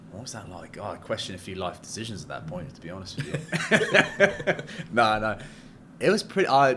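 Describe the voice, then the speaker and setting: A man speaks at a medium pitch with an English accent. His pitch swings very widely. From England. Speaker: commercial real estate broker. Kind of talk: casual chat.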